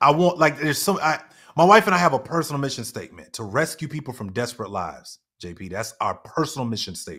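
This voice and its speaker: A man with a fairly high pitch and a bright, sharp tone with vocal fry races at a very fast pace, making very wide pitch swings and big swings in loudness. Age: 30s. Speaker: business coach and podcast president. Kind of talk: interview. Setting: live online show.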